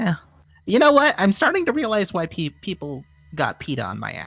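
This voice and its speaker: Man in a put-on character voice, high-pitched with very wide pitch swings, at a moderate pace. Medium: actual play. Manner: jokey, playful.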